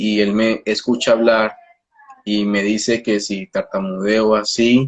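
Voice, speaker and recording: A man's fairly low, monotone voice with flat intonation, at a very slow pace. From Colombia. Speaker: speech therapist. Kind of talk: interview. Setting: video call. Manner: halting.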